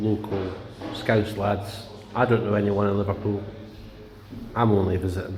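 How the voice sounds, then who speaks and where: With music playing in the background and audible room echo, a man speaks at a fairly low pitch in a monotone, flat delivery. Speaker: darts pub vlogger. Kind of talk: casual vlog commentary.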